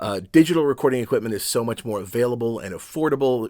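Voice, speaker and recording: The recording is very clean, with a silent background. A man speaks in an unremarkable speaking voice at a medium pitch, with ordinary pitch variation. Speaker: voice actor. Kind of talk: casual talk to camera.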